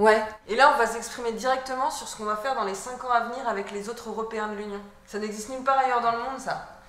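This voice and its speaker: Energetic and very fast, a woman talks with a fairly high pitch and big swings in loudness. Noticeable background noise runs behind her. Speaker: voice actor, actress. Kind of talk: web series dialogue, scripted educational sketch. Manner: energetic, coaching tone.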